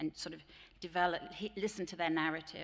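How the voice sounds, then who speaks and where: This woman's pitch is fairly low. Her pitch variation is ordinary. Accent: English. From England. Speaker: teacher trainer. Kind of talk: conference plenary talk. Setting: stage with audience.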